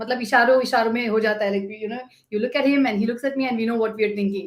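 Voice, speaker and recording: A woman's fairly high voice in a Gujarati accent, very fast, with fairly even intonation. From India, Chennai. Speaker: sales professional. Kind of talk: casual chat.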